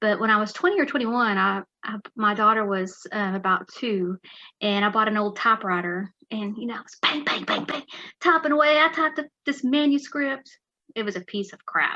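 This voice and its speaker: Bright and sharp, a woman's voice moves at a fairly quick pace. Her pitch is fairly high, with lively intonation. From West Texas. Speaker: author. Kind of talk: interview.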